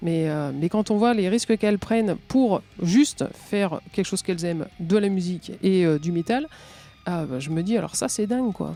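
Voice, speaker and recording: At a moderate pace, a woman talks in a normal speaking voice with medium pitch. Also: lively intonation. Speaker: metal musician. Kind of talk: podcast interview answer.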